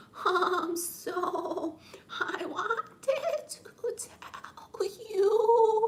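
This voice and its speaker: In a put-on character voice, the speaker talks very slowly at an extremely high pitch. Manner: stuttering, hesitant.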